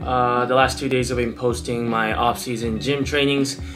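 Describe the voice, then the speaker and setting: A man's voice over clear background music. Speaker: athlete vlogger. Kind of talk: casual vlog chat. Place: home room.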